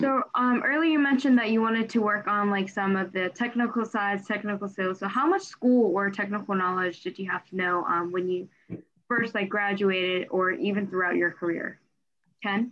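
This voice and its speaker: This woman speaks in a normal speaking voice at medium pitch. Her pace is moderate. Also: ordinary pitch variation. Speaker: student podcast host. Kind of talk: interview.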